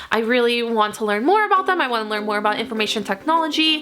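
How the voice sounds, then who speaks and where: Noticeable background noise sits behind this woman's voice. She has a fairly high pitch and lively intonation. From Northern Virginia. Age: 20s. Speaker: computer science student. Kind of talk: casual talk to camera.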